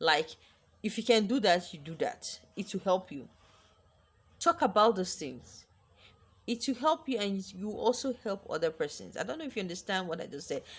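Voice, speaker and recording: A somewhat breathy woman's voice at medium pitch, with very wide pitch swings and a moderate pace. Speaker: lifestyle vlogger. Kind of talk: advice vlog monologue. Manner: animated.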